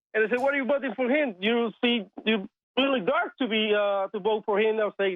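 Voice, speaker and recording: This man has a high pitch and speaks fairly quickly with a Spanish accent. His pitch varies in an ordinary way. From Cuba. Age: 20s. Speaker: caller. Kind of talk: phone-in call. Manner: halting.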